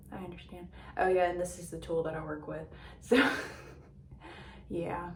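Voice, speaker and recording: A woman's voice with audible room echo. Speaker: beauty vlogger. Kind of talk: casual chat. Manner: loud.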